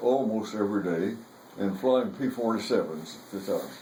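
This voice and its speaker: The speaker keeps a moderate pace against noticeable background noise. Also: man. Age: 80s+. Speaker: war veteran. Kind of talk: storytelling interview.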